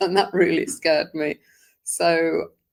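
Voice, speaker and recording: Speaking with a British accent, a woman keeps to a fairly slow pace. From England (London). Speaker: sobriety group founder. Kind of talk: podcast interview, personal story.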